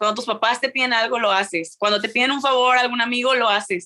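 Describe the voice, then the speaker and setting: This woman's voice sits fairly high, with ordinary pitch variation. Her tone is bright and sharp. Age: 20s. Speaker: university student and entrepreneur. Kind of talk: casual interview.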